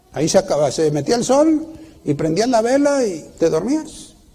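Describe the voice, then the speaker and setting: Very wide pitch swings from a man, amid noticeable background noise and audible room echo. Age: 60s. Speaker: preacher. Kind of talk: sermon. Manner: halting, with many restarts.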